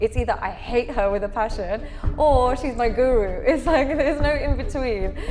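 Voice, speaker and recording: Over music in the background, a woman with a high pitch talks at a moderate pace with lively intonation. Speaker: interview guest.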